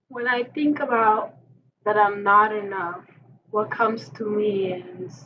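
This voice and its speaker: With a non-native accent, a woman of fairly high pitch speaks at a fairly slow pace, pausing long and often, with ordinary pitch variation. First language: not English. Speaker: podcast co-host. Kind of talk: casual chat. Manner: halting.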